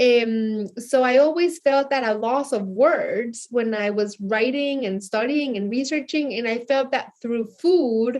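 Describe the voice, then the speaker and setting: A woman's high voice in a Mexican accent, fairly slow yet with hardly any pauses, with ordinary pitch variation. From Mexico City, Mexico. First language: Spanish. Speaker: chef and cookbook author. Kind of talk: interview.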